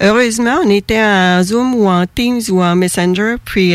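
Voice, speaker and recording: Behind a woman's medium-pitched voice and fairly even intonation lies noticeable background noise. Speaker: author of a book on twin bereavement. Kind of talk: radio interview.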